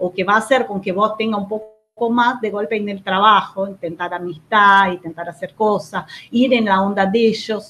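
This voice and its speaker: A woman speaks in a Portuguese accent at a moderate pace. Her pitch is medium, with ordinary variation. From Brazil. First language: Portuguese (speaking Spanish). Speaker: co-host. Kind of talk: live stream chat.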